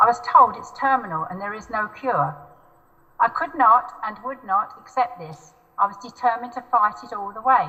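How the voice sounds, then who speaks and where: Against noticeable background noise, a speaker with a southern English accent talks at a moderate pace, with lively intonation and big swings in loudness. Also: woman, fairly high pitch for a woman. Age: 70s. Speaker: mesothelioma patient. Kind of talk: testimony. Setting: video call.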